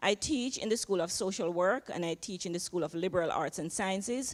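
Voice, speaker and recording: Lively intonation and a fairly quick pace mark this voice with a Jamaican accent. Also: woman. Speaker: social work professor. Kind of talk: panel interview. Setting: chapel panel with audience.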